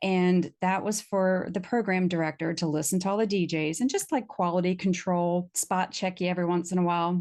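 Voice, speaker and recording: Against a quiet background, a woman with an American accent speaks at a fairly quick pace in a fairly low voice. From Virginia, US South. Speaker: voiceover artist. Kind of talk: casual interview chat. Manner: animated.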